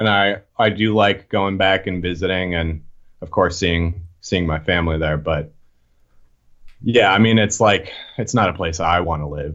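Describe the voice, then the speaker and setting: An American-accented man with a plain, everyday voice, fairly slow pace and lively intonation. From Boston area. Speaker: hardcore punk musician. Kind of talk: casual chat.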